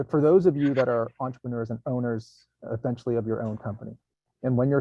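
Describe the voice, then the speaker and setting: A man of medium pitch speaks in an unremarkable speaking voice with fairly even intonation. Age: 50s. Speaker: recruiting company CEO. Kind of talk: workshop discussion.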